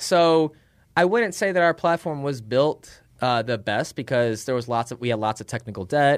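In a normal speaking voice, a man with an American accent talks at a moderate pace and medium pitch with lively intonation, on a very clean recording with a silent background. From Chicago, US Midwest. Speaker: tech startup founder. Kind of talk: casual interview. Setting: in person.

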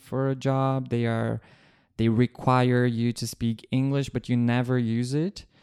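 A man with a Portuguese accent speaks at a fairly slow pace in a flat monotone, his medium-pitched voice dark and mellow on a very clean, dry, close recording with no echo and a silent background. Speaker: journalist. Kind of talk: casual chat.

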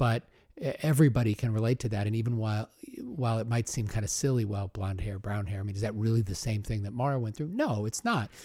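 A man with an American accent talks at a very fast pace and medium pitch, his tone dark, mellow and somewhat breathy. The recording is very clean, with a silent background. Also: ordinary pitch variation. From Omaha, US Midwest. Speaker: podcast host. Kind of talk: interview.

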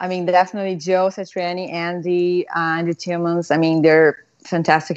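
A woman talks with a Portuguese accent at a moderate pace. Her pitch is fairly low. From Brazil, São Paulo. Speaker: guitarist. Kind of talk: casual interview.

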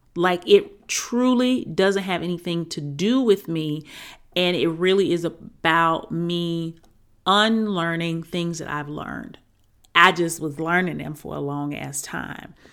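The woman has a plain, everyday voice, fairly low in pitch with ordinary pitch variation. She speaks fairly slowly with big swings in loudness, on a very clean recording with a silent background. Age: 40s. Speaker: podcast host and mother wound coach. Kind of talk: casual monologue.

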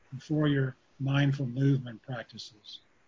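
The tone is gentle and calm, somewhat breathy. The pace is fairly slow. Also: man. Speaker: meditation teacher and university faculty. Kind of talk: guided meditation with slow spoken cues. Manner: slow, soothing, repetitive phrasing; gentle, calm pacing with pauses.

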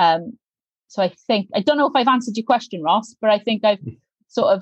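A woman with a South Wales Valleys accent speaks with lively intonation in a dry, close recording with no echo. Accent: South Wales Valleys Welsh English. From South Wales Valleys, Pontypridd. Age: young. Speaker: member of parliament. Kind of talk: interview.

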